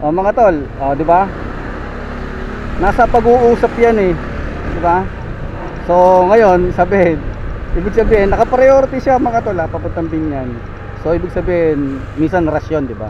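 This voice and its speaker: Noticeable background noise sits under speech delivered at a moderate pace with long, frequent pauses. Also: man, high pitch for a man. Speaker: delivery rider motovlogger. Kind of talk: casual vlog narration.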